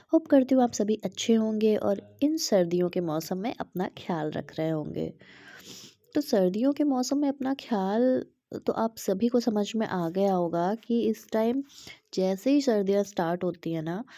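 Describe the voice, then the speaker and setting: A woman speaks at medium pitch with a dark, mellow tone. The recording is very clean, with a silent background. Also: lively intonation. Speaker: vlogger. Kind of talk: casual vlog talk. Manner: hesitant with many fillers.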